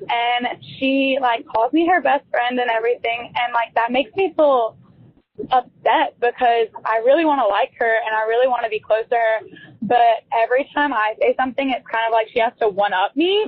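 High-pitched female speech with ordinary variation in pitch. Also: moderate pace. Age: young. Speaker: college student, voicemail caller. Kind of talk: voicemail message.

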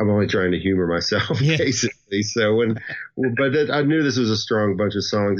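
A man with a Southern US accent and lively intonation. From US South. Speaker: musician. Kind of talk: casual interview chat.

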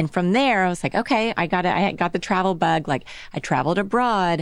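A woman's normal speaking voice with an American accent, moderate pace and ordinary pitch variation, on a very clean recording with a silent background. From Texas (Dallas). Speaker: accessories designer and brand founder. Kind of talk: interview. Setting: studio.

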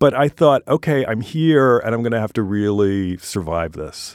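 In a very clean recording with a silent background, a man with a normal speaking voice talks at a moderate pace, his fairly low pitch showing ordinary variation, the sound dry and close with no echo. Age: 60s. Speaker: illustrator. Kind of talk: interview.

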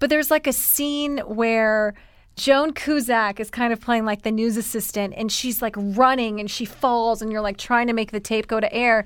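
At a moderate pace, a woman with an American accent speaks in a plain, everyday voice, fairly high in pitch with fairly even intonation, on a very clean recording with a silent background. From US South, Columbia, South Carolina. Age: 30s. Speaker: TV host and content creator. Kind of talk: casual interview chat. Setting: studio.

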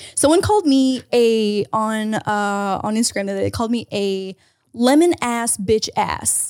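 At a fairly slow pace, a woman in a normal speaking voice talks with a fairly high pitch and ordinary pitch variation. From Canada. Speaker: podcast co-host. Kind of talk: casual chat.

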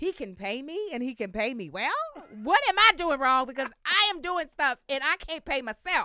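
A woman's raised, projected voice, animated and high-pitched, with a bright, sharp tone, very wide pitch swings and a dry, close sound with no echo. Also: moderate pace. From Baltimore and Kentucky. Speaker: actress and comedian. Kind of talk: interview.

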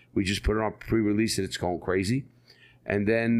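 A man with a New York accent speaks at a fairly low pitch on a very clean recording with a silent background. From New York City (Bronx). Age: 60s. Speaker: ex-convict author. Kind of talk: interview storytelling.

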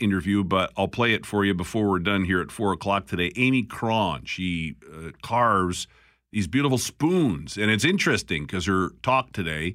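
The recording is very clean, with a silent background. A man with a Canadian accent speaks with a bright, sharp tone at a fairly low pitch, with hardly any pauses. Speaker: radio talk show host. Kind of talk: talk radio. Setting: studio. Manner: conversational.

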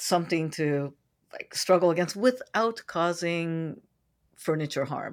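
A woman with an American accent has a plain, everyday voice at a fairly low pitch. She talks at a fairly slow pace on a very clean recording with a silent background. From San Francisco, US. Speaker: sex educator and coach. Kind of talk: interview, expert advice.

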